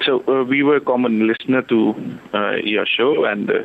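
With noticeable background noise behind him, a man talks at a moderate pace and medium pitch, his intonation fairly even. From India, Delhi. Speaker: caller. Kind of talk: phone-in confession. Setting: phone call. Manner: halting, many fillers.

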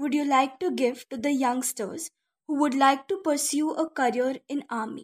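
This woman has an Indian accent. Her pitch is high. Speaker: radio host. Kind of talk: radio interview host.

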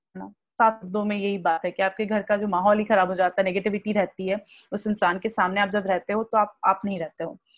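Over music in the background, a woman talks in a medium pitch with monotone, flat intonation, hardly any pauses and big swings in loudness. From Marwari family, raised across India. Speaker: author, blogger and mindfulness practitioner. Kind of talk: podcast interview. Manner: casual Hindi-English code-switching.

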